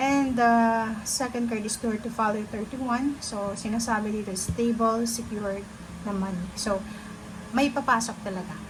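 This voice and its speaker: Soft-spoken and fairly high in pitch, a woman talks at a fairly slow pace with fairly even intonation amid audible room echo. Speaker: tarot reader. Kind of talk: tarot reading.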